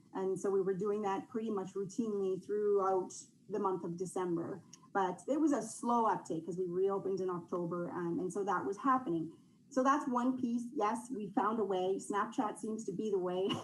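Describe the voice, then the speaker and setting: Audible room echo on a woman's moderately paced speech in a medium register. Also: ordinary pitch variation. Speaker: youth organization representative. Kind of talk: council presentation.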